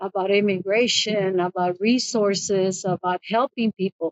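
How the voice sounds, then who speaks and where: At a fairly slow pace, a woman with a Spanish accent talks at medium pitch with fairly even intonation. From Mexico, raised in Compton, California from 11. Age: 70s. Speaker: immigration paralegal. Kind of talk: interview. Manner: halting, with many repetitions.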